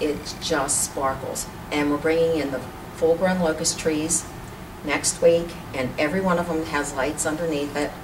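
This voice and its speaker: Monotone and flat, a voice with an American accent comes through audible room echo and noticeable background noise. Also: woman. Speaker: community organization president. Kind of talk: interview.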